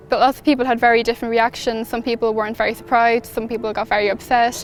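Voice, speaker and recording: Over music in the background, a woman talks very fast at a fairly high pitch in a monotone, flat intonation. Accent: Irish Midlands. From Ireland, County Laois. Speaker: midwifery student, volunteer. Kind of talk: recorded testimonial.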